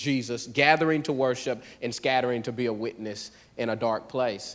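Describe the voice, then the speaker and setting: A man with an American accent and an ordinary speaking voice, at a moderate pace with ordinary pitch variation. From US South, Pensacola, Florida. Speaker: church planter, pastor. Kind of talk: church testimony. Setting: church.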